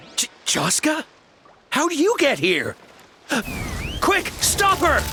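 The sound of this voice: A woman does a cartoonish character voice, high-pitched with a bright, sharp tone, speaking slowly with very wide pitch swings.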